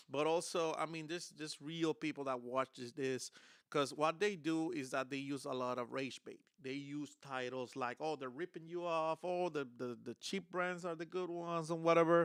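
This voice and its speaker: A man with a Spanish accent speaks at a fairly high pitch and moderate pace. The sound is dry and close, with no echo. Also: fairly even intonation. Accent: Spanish accent, noticeable. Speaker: guitar content creator, streamer. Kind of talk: live stream casual talk. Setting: live stream. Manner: hesitant, many fillers.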